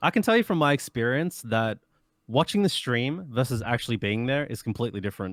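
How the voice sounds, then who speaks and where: On a very clean recording with a silent background, a man with an Australian accent speaks at a medium pitch with lively intonation. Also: dry, close sound with no echo. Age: 20s. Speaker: speedrunner. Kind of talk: interview.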